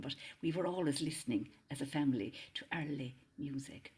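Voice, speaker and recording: With an Irish accent, a woman talks at a very deep, low pitch. Her pitch variation is ordinary. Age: 70s. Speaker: singer and interfaith minister. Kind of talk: casual chat.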